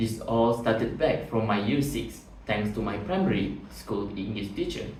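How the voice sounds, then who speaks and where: A man talks at a moderate pace, with audible room echo and noticeable background noise. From Malaysia, Batu Pahat (Johor). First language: Malay. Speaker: job interview candidate. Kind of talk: mock job interview. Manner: formal.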